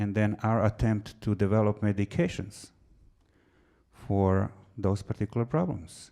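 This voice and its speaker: In a very clean recording with a silent background, a man with a non-native accent speaks at a fairly slow pace and fairly low pitch, with a dark, mellow tone and ordinary pitch variation. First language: not English. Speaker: physician and researcher. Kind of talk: lecture.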